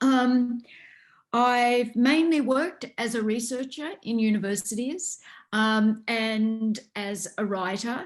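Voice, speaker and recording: With ordinary pitch variation, a woman at a fairly high pitch talks at a very slow pace over a quiet background. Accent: Australian. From Australia. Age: 60s. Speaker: researcher and author. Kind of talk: interview.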